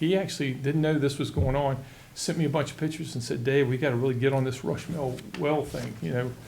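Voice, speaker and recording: Speaking at a very fast pace, a man keeps his intonation fairly even. Room echo is audible. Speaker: county utilities official. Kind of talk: public meeting presentation. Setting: board meeting.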